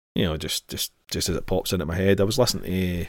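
A man with a Scottish accent talks at a very fast pace and fairly low pitch, with ordinary pitch variation, on a very clean recording with a silent background. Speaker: podcast host. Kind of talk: casual chat.

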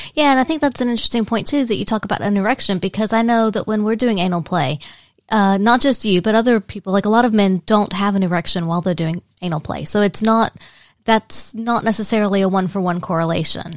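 In an American accent, a woman talks at a very fast pace with a medium pitch and ordinary pitch variation, on a very clean recording with a silent background and a dry, close sound with no echo. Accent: southern US, usually slight. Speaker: podcast co-host. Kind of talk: casual chat.

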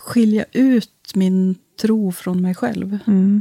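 Somewhat breathy and dark, mellow in tone, a woman speaks at a medium pitch with ordinary pitch variation in a dry, close sound with no echo. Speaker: parish priest. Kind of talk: casual interview. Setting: studio.

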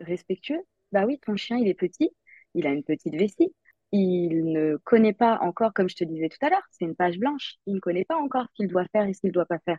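A woman speaks at a medium pitch. Her pace is very fast and her intonation lively. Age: 30s. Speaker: digital secretary and dog enthusiast. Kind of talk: casual interview. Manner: halting, many filler hesitations.

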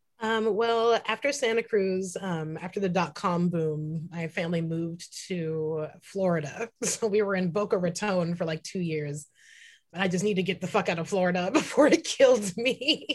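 A woman with an American accent speaks at a moderate pace and medium pitch. Her pitch variation is ordinary, and the background is quiet. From US West Coast, San Francisco Bay Area. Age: 30s. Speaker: tattoo artist and activist. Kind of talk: casual interview. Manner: animated.

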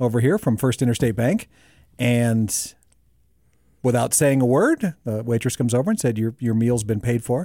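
A man speaks with a dark, mellow tone, ordinary pitch variation and very even loudness. The sound is dry and close with no echo, on a very clean recording with a silent background. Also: medium pitch for a man, moderate pace. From North Dakota, raised in South Dakota. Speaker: podcast host and producer. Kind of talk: casual chat. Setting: studio with camera.

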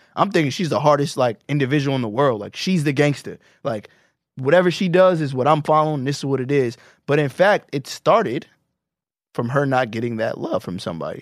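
With a normal speaking voice, a man talks at a fairly quick pace and a fairly high pitch on a very clean recording with a silent background. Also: ordinary pitch variation. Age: 30s. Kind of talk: casual chat.

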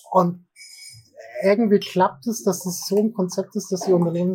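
A man with a high voice talks at a fairly quick pace with ordinary pitch variation. Noticeable background noise sits under the recording. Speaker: IT security consultant. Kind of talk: casual interview. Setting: café. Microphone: poor recording quality.

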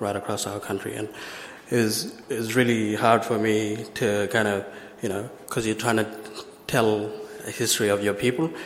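A man's fairly low, flat, monotone voice with long, frequent pauses, audible room echo and noticeable background noise. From Western Australia, Broome and Western Desert. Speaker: filmmaker and video artist. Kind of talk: conference presentation.

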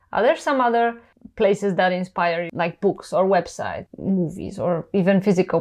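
At a moderate pace, a woman of medium pitch speaks with fairly even intonation in an unremarkable speaking voice. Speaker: podcast host. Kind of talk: interview.

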